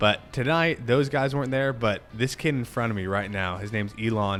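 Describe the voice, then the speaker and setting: The delivery proceeds at a moderate pace. Background music accompanies it. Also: man. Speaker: cycling vlogger and amateur racer. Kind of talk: race commentary over footage. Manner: animated.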